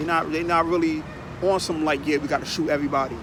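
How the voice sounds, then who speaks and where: A man talks at a very fast pace with a fairly high pitch. Noticeable background noise and audible room echo surround his voice. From Long Island, New York. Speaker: vlogger. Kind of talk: casual monologue. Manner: animated, repetitive filler.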